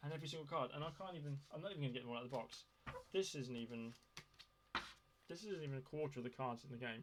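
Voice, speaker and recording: A man rattles along at a very fast pace, his pitch varying in an ordinary way. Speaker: board game reviewer. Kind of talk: casual video review. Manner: hesitant, many fillers. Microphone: poor sound.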